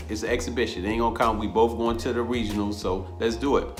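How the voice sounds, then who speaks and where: Someone with an American accent speaks very fast in an animated tone. Music plays in the background. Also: man. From Rochester, New York. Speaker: boxing coach, former amateur boxer. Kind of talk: interview answer. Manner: casual, animated storytelling.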